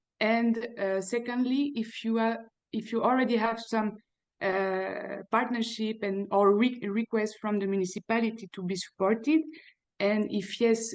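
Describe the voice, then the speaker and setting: A woman with a non-native accent speaks at a moderate pace, her pitch fairly high and her intonation fairly even. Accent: foreign. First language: not English. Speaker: audience member. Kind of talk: audience question. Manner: halting.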